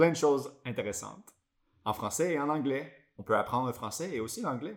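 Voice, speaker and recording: A man with a Quebec accent talks at a very fast pace. His fairly high voice has lively intonation. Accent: Quebec French accent when speaking English. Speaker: podcast co-host. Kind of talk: casual bilingual podcast chat.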